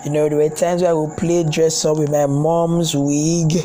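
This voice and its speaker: A man speaks at a fairly high pitch in a monotone, flat intonation. Room echo is audible, and background noise is noticeable. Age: young. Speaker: personal vlogger sharing life confessions. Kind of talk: personal testimony. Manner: halting, repetitive.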